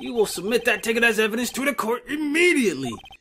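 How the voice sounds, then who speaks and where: A man puts on a character voice at an extremely high pitch. He talks at a very fast pace. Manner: stern, commanding.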